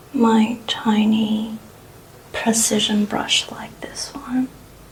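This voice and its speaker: The speaker is soft-spoken and talks at a very slow pace. Noticeable background noise can be heard. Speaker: makeup content creator. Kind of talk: ASMR makeup tutorial.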